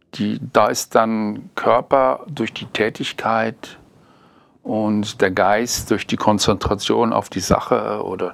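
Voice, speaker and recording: A fairly low-pitched man with vocal fry, at a very slow pace. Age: 60s. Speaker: interviewee. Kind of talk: casual chat. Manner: halting.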